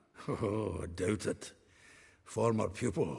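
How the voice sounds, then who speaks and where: Putting on a character voice, a man talks raspy and fairly low-pitched at a fairly slow pace. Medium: video game. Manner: chuckling, blunt.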